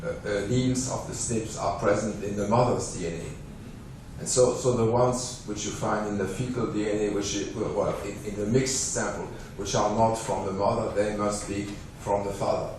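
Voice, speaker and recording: A man with a French accent speaks at a fairly low pitch and a moderate pace, with fairly even intonation. Noticeable background noise and audible room echo come through. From France. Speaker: scientist. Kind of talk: lecture. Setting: conference hall. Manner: halting.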